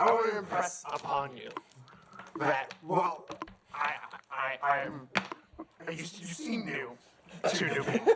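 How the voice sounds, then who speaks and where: Using a put-on character voice, a man speaks at a high pitch and a fairly slow pace, leaving long, frequent pauses. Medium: actual play. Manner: smooth, wheedling.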